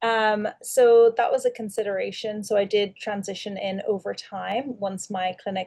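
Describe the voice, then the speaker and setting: A woman speaks with an Irish accent at a medium pitch, her tone dark and mellow. Her intonation stays fairly even, and her voice is somewhat breathy. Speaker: dentist and practice owner. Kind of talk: webinar panel discussion. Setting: video call.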